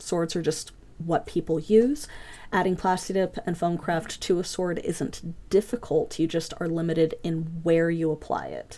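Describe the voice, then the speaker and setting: A normal speaking voice, fairly even in intonation and moderate in pace. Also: woman, fairly low pitch for a woman. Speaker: foam craft class teacher. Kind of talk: online class lecture. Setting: voice chat server.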